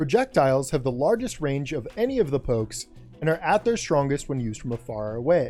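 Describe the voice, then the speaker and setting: The man talks at a moderate rate. Background music accompanies him. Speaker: fighting game guide creator. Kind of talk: game tutorial narration.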